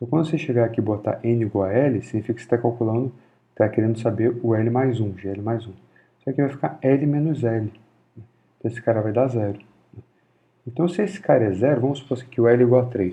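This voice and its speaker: A man at a very fast pace with long, frequent pauses, medium pitch and ordinary pitch variation. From Rio de Janeiro, Brazil. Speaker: physics lecturer. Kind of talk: informal university lecture.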